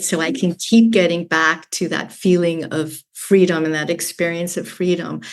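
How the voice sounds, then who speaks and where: A woman talks at a moderate pace with fairly low pitch in a normal speaking voice. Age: 60s. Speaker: business owner. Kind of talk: interview.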